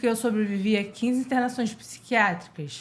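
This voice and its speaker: A woman talks at a fairly high pitch with fairly even intonation. Her voice is somewhat breathy. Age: 20s. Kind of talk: interview chat.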